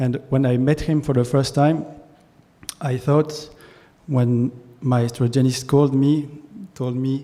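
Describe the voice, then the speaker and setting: A man's medium-pitched voice in a French accent, fairly slow and monotone with flat intonation, with long, frequent pauses. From France. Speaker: concert pianist. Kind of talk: speech at a ceremony. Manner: halting, repeats words.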